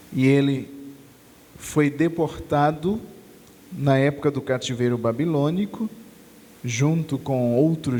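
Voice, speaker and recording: Speaking very slowly, a man with a fairly high pitch uses ordinary pitch variation. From Brazil, Natal (Rio Grande do Norte). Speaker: preacher. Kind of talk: sermon.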